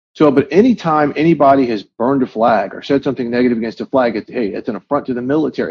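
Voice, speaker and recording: This man's voice sits at a fairly high pitch. He talks at a very fast pace. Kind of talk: interview.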